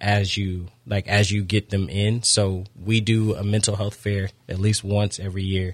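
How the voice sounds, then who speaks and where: The speaker has an American accent and a somewhat breathy, monotone delivery with flat intonation. The moderate pace has hardly any pauses, and the recording is very clean with a silent background. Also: man, fairly low pitch for a man. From Florida (Daytona). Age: 30s. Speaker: youth football coach and nonprofit founder. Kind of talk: radio interview.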